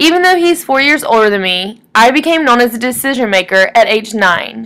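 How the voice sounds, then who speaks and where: A woman talks in a high pitch with a Texan accent. Her intonation is lively and her pace moderate. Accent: Texan Southern US. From East Texas (Woodville). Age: 20s. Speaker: student. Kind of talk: reading aloud. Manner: formal.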